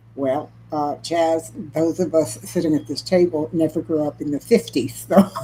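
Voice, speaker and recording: A woman speaks at a moderate pace in a very deep, low voice with a dark, mellow tone and vocal fry. Her pitch varies in an ordinary way. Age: 70s. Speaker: cooking channel host. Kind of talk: casual live stream chat.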